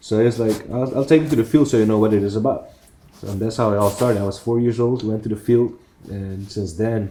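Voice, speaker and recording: A man's dark, mellow tone at a medium pitch, fairly quick in pace, with fairly even intonation. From Curaçao. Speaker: professional baseball player. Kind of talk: interview. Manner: casual.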